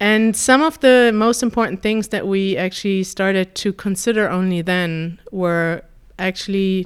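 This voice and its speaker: A woman speaks with a German accent at a moderate pace, her pitch varying in an ordinary way. The recording is very clean, with a silent background. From Germany. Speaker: YouTube language-learning host. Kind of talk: interview.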